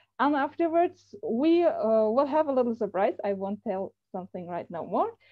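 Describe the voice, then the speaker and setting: A woman's high-pitched voice with a German accent and lively intonation. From Germany. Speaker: software company representative. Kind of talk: online presentation. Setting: video call. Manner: halting, many fillers.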